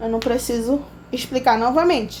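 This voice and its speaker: Audible room echo surrounds a woman as she talks. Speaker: biology teacher. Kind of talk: lecture.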